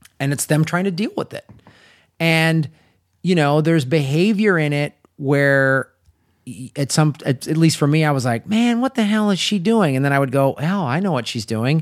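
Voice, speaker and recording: A man talks in a plain, everyday voice with a fairly high pitch. The recording is very clean, with a silent background. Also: moderate pace. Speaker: podcast host. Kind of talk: casual comedy podcast chat. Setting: home recording studio. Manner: joking, interrupting.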